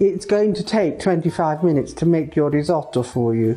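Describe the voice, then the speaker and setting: Faint music sits behind a woman as she talks. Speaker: chef. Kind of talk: cooking demonstration to camera. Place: kitchen.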